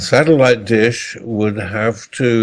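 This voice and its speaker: This is a man with a plain, everyday voice. His pitch sits fairly low. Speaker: astronomer guest expert. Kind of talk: interview.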